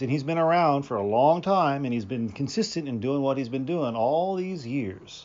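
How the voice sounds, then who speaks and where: A man with an unremarkable speaking voice, medium pitch, lively intonation and a moderate pace. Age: 40s. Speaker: podcaster reading his own fiction. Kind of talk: casual chat; reading aloud.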